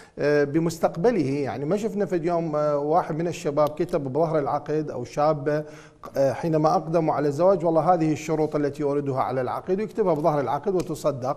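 Fairly quick and with hardly any pauses, a man talks on. His intonation is fairly even. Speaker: psychology professor, TV guest. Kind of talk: interview answer. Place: studio. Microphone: lapel.

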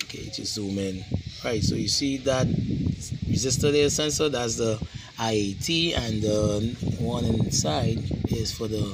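Male voice with ordinary pitch variation amid loud background noise. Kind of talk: tutorial. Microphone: phone near.

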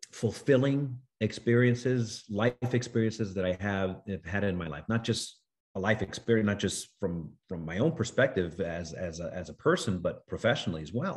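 A man talks at a moderate pace with lively intonation. His pitch is fairly low, and the background is quiet. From New York City. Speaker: actor. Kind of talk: interview. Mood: thoughtful, warm. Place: home room. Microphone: video call.

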